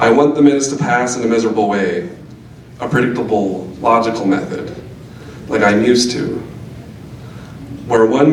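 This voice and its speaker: A man at a medium pitch and moderate pace with ordinary pitch variation, with noticeable background noise and audible room echo. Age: 20s. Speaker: reader at a poetry event. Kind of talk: reading aloud.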